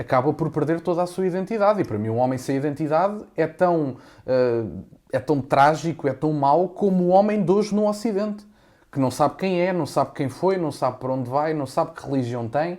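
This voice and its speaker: The recording is very clean, with a silent background. A man with a dark, mellow tone and fairly high pitch speaks fairly quickly with lively intonation. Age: 20s. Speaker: content creator. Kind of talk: podcast interview answer.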